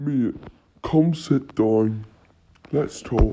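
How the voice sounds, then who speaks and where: A man's put-on character voice at a medium pitch with ordinary pitch variation. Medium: short film. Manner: casual, friendly on the surface.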